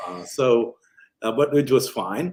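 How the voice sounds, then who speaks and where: The voice has an Indian accent and a fairly slow pace. Its pitch varies in an ordinary way. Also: man. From Kerala, India. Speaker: physician. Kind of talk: interview answer.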